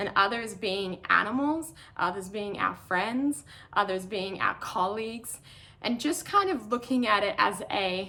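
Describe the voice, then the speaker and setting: In an Australian accent, a woman speaks at a medium pitch with ordinary pitch variation. Her tone is bright and sharp. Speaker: professional trail runner. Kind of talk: online talk.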